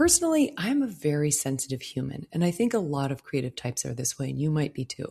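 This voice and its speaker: A woman's very deep, low voice has a dark, mellow, somewhat breathy sound and a calm, soothing tone. The recording is very clean, with a silent background. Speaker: podcast host, floral designer. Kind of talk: solo podcast monologue.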